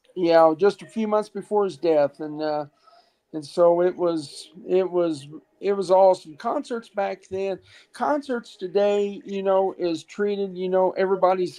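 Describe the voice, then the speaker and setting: Her voice has a dark, mellow tone as a woman speaks at medium pitch and moderate pace with ordinary pitch variation. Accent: American. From Ohio, US. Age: 60s. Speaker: caller. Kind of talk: casual chat. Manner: halting. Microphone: iPhone.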